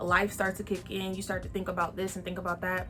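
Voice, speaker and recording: A woman talks at a fairly quick pace with an American accent. Music plays in the background. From Texas, San Antonio. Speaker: podcast host. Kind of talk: casual vlog monologue.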